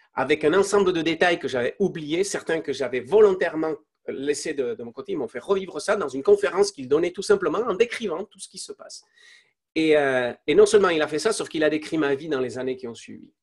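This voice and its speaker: With a high pitch and lively intonation, a man speaks at a fairly quick pace, his loudness swinging widely. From Spain. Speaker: entrepreneur. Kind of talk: interview testimony. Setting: live online interview. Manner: halting, many fillers and repetitions.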